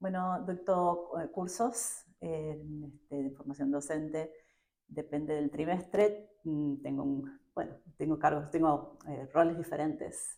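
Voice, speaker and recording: A woman's very deep, low voice with a dark, mellow tone, ordinary pitch variation and a very slow pace. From Argentina. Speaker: education professor. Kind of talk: interview. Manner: hesitant, many fillers.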